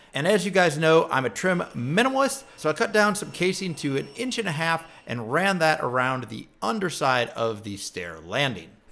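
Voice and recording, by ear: The voice carries vocal fry and a fairly bright tone, swinging widely in pitch at a moderate pace with few pauses. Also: man, fairly high pitch for a man.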